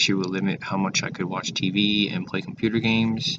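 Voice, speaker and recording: A fairly low-pitched man at a moderate pace, ordinary pitch variation, over noticeable background noise. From Taiwan, moved to US in sixth grade. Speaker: student vlogger. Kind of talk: casual vlog monologue. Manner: halting, many fillers.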